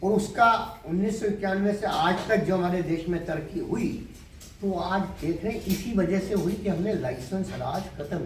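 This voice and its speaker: A high-pitched man with ordinary pitch variation, amid noticeable background noise and audible room echo. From Delhi, India. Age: 70s. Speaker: agriculture businessman. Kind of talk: interview.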